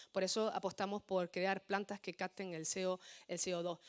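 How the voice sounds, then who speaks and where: On a very clean recording with a silent background, a woman talks at a medium pitch in a monotone, flat intonation, the sound dry and close with no echo. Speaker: politician. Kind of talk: political speech. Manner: fast.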